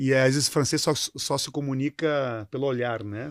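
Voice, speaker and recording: A medium-pitched man with a southern Brazilian accent, dry and close with no echo, on a very clean recording with a silent background. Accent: gaúcho. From southern Brazil, Rio Grande do Sul. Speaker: company CEO. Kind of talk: interview. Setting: studio panel. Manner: halting, repeats words.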